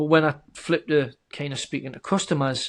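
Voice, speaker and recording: This man speaks in a flat, monotone way with a slight northern English accent. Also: quiet background. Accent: subtle northern English. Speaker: software company founder. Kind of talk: podcast interview. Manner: hesitant, many repeated words.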